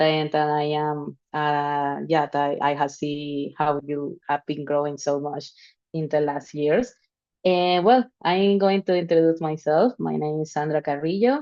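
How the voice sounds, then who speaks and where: A dark, mellow tone with a Spanish accent, ordinary pitch variation and a quiet background. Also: woman, very deep, low pitch for a woman, fairly slow pace. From Venezuela. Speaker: DeFi protocol team member. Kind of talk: informal talk in a live stream. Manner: halting.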